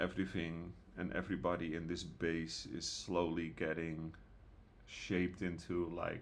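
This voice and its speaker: A man's very deep, low voice carries audible room echo. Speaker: gaming youtuber and server owner. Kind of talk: casual gameplay commentary. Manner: soft-spoken; hesitant, many fillers.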